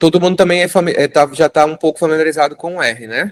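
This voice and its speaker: A man's high-pitched voice at a fairly quick pace, the sound dry and close with no echo. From Brazil, Recife (Pernambuco). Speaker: fisheries engineer teaching a course. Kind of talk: hands-on tutorial class.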